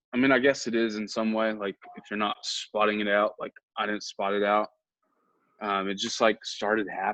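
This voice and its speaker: With a bright, sharp tone and a fairly low pitch, a man talks at a moderate pace in a monotone, flat intonation, the sound dry and close with no echo. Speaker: podcast co-host. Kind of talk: casual chat.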